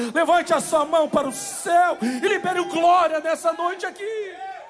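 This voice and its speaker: Against noticeable background noise, a man talks fairly slowly at an extremely high pitch. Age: 30s. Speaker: pastor. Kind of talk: sermon. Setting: church.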